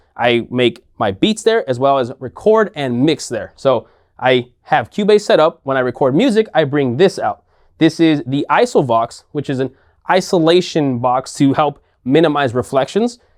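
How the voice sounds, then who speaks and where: Heard in a dry, close sound with no echo, a man at a fairly high pitch speaks at a moderate pace with lively intonation. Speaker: tech YouTuber and music producer. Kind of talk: studio tour walkthrough. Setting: home studio.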